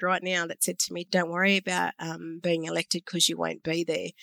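A woman with an Australian accent, fairly low in pitch, in a flat monotone. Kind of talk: interview conversation.

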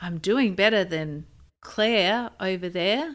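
A woman talks at a fairly slow pace, captured on a very clean recording against a silent background. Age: 40s. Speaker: podcast host and naturopath. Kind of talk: solo podcast monologue. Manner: animated.

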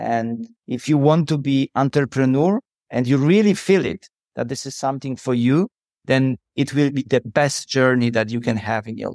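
In a Polish accent, a man talks at a moderate pace with medium pitch and ordinary pitch variation, the sound dry and close with no echo. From Poland. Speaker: tech company CEO. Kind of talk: interview. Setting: remote call.

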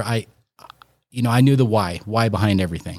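A man with an American accent talks at a very fast pace, at a medium pitch with fairly even intonation. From Colorado, Northeast Aurora. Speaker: realtor. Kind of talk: casual chat.

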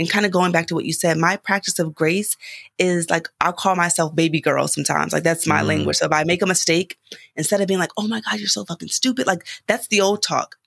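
Speaking at a very fast pace, a woman with an American accent uses a fairly low voice with ordinary pitch variation in a dry, close sound with no echo. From Philadelphia, US. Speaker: speaker and podcast guest. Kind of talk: casual chat.

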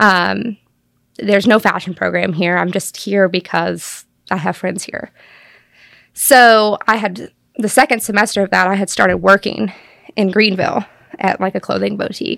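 With a medium pitch and vocal fry, a woman speaks in an American accent at a moderate pace, with fairly even intonation and long, frequent pauses, on a very clean recording with a silent background. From Western North Carolina (Cashiers). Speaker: real estate agent and interior designer. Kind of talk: casual chat.

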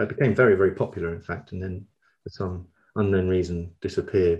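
Against a quiet background, a man with a London accent speaks in a very deep, low pitch, somewhat breathy, with fairly even intonation. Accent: London English, southern British. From South London, England. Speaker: learning industry executive. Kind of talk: interview conversation.

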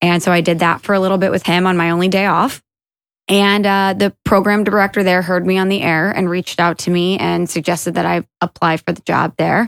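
A woman's voice comes through dry and close, with no echo, over a silent background in a very clean recording. Her intonation is monotone and flat, her loudness very even. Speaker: sports radio host. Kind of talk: interview, casual chat.

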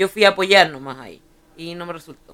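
The speech comes at a fairly quick pace with a bright, sharp tone. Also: woman. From Chile. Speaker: podcast co-host. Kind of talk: casual chat.

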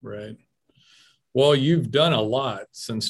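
A man speaking at a fairly slow pace. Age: 40s. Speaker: podcast host. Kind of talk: casual chat.

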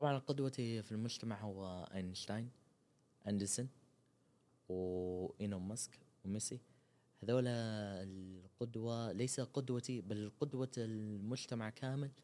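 A man speaks at a medium pitch and a fairly slow pace. His tone is dark and mellow, with ordinary pitch variation. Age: 20s. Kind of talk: interview. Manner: halting, with frequent pauses and fillers.

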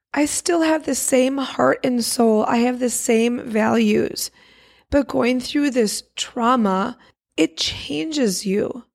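Very slowly and at a very even loudness, a woman speaks in a high voice with ordinary pitch variation on a very clean recording with a silent background. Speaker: podcast host. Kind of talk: personal monologue.

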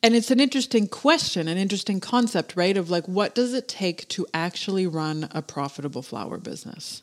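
A woman with a Canadian accent at a medium pitch, animated in tone with lively intonation, at a moderate pace in a very clean recording with a silent background. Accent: Canadian accent, stands out in Australia. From Canada. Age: 40s. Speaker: podcast host and business coach for florists. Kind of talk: motivational solo podcast monologue. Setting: home office.

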